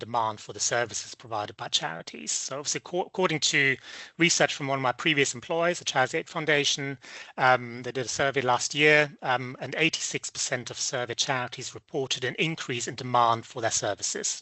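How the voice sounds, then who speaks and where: A man with a slight German accent talks at a fairly quick pace. His pitch is medium, with ordinary variation. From Germany. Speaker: business development presenter. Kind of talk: webinar presentation. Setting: online webinar. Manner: hesitant, many fillers.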